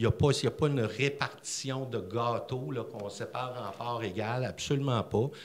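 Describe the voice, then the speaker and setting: There are hardly any pauses as a man with a medium pitch talks at a moderate pace, his voice somewhat breathy and his pitch variation ordinary. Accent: Quebec. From Quebec City; Quebec. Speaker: regional tourism director; audience member. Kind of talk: public forum remarks. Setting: library public event with audience. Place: hall. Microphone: podium.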